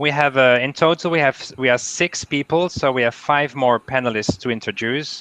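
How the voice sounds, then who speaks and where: A man's bright, sharp voice with a Dutch accent and ordinary pitch variation. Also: dry, close sound with no echo. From Netherlands. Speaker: university international staff advisor, panel moderator. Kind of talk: online panel discussion. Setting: video call.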